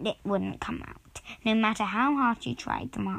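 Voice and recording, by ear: Natural-voiced reading out loud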